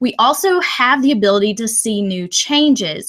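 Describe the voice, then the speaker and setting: In a Texan accent, a woman talks with lively intonation. Her pitch is fairly high. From Texas. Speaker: educator, former teacher. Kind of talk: webinar presentation. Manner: loud.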